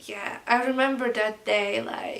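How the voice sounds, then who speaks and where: A woman with a non-native accent speaks at a high pitch and a very slow pace. Her intonation stays fairly even over noticeable background noise. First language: not English. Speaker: vlogger. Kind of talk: storytime vlog. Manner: hesitant, many fillers.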